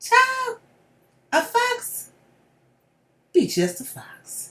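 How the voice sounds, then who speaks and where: A woman puts on a squeaky character voice, extremely high in pitch, in a Southern accent. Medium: read story.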